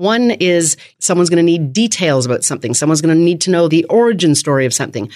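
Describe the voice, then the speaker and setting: With a Canadian accent and a fairly low pitch, a woman talks at a very fast pace in an animated, enthusiastic tone with lively intonation. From Canada. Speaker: media training expert. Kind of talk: interview conversation. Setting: studio.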